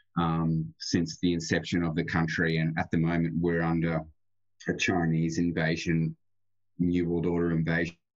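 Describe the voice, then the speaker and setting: Against a quiet background, a man with an Australian accent speaks with a very deep, low pitch, monotone, flat intonation and very even loudness. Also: moderate pace. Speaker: remote viewer and gematria guest. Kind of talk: radio interview. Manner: halting, repeats words.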